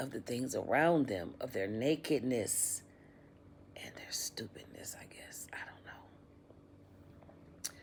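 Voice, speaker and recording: Whispering at a very slow pace, a woman shows big swings in loudness. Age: 60s. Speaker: YouTuber. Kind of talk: casual vlog monologue.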